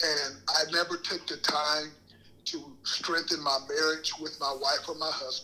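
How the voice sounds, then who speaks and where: The delivery is fairly slow, with an American accent and monotone, flat intonation. Noticeable background noise runs underneath. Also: man, fairly high pitch for a man. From Michigan (Saginaw). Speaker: motivational speaker. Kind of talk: podcast interview.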